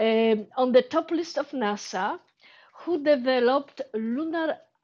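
Speaking at a very slow pace with a Polish accent, a woman has a high pitch and lively intonation. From Poland. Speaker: space entrepreneur. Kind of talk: audience question during Q&A. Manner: halting.

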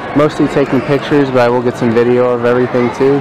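A man's monotone, flat voice, dry with no echo, amid noticeable background noise. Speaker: vlogger touring museum. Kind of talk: casual vlog chat. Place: hall. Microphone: phone near.

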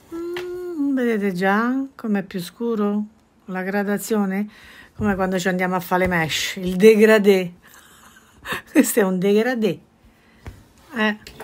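A woman speaks at a very slow pace. Her pauses are long and frequent. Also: ordinary pitch variation. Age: 60s. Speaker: embroidery craftswoman; embroidery teacher. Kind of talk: tutorial. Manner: chatty, informal. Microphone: phone near.

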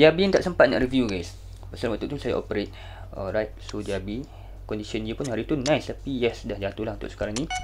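This man talks at a very fast pace. He has a Malaysian accent. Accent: Malaysian Malay. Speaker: gaming YouTuber. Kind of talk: casual gameplay streaming commentary.

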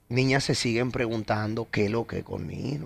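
A man with a Dominican accent. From Dominican Republic. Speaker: radio host. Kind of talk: interview. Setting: studio. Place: studio. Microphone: studio mic.

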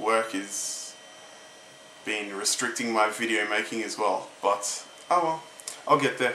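Over noticeable background noise, a man speaks at a fairly slow pace with long, frequent pauses, a medium pitch and ordinary pitch variation. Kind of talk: casual talk to camera.

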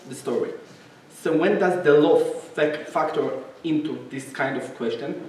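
A man talks at a fairly slow pace. Audible room echo and light background noise are present. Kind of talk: lecture. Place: hall.

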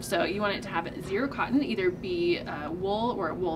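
A woman's speech, with ordinary pitch variation at a moderate pace, comes through noticeable background noise. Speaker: presenter. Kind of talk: tutorial. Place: shop.

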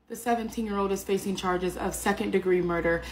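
This woman has an unremarkable speaking voice, fairly low in pitch, with fairly even intonation. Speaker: true crime channel host. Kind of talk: true-crime news narration, scripted-sounding. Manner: serious, measured, steady storytelling pace; direct and informative, addressing viewers.

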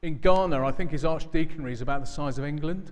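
Here a man is talking. He moves at a fairly quick pace. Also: quiet background. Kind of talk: church announcements. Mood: warm, joking. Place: church.

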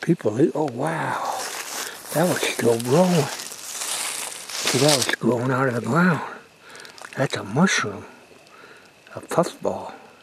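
A man talks at a very slow pace with long, frequent pauses. The sound is dry with no echo, with noticeable background noise. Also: ordinary pitch variation. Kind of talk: casual outdoor narration and chat. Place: forest. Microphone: phone near.

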